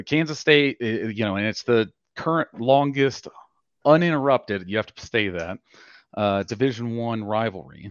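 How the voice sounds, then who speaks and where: An ordinary speaking voice at a moderate pace, with ordinary pitch variation. The sound is dry and close with no echo, over a quiet background. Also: man. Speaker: caller. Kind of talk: casual chat. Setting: online audio space.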